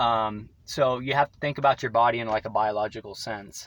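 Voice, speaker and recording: A man's medium-pitched voice with fairly even intonation and big swings in loudness. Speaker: vlogger. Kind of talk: casual monologue. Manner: fast.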